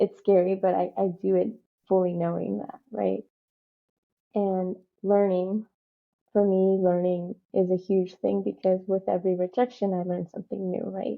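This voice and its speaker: A woman speaks at a moderate pace and medium pitch. Her intonation is monotone and flat. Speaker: community advocate. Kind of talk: interview. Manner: casual, filler-heavy.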